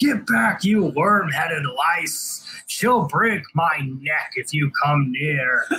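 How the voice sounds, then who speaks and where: A put-on character voice, bellowing at a very slow pace. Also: man, fairly high pitch for a man, lively intonation. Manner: roaring, furious.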